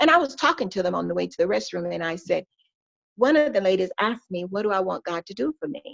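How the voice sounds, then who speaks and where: A woman speaks at a medium pitch with very wide swings in it. The sound is dry and close, with no echo. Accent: American. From US South, Georgia. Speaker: pastor's wife sharing her testimony. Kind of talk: testimony. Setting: podcast interview.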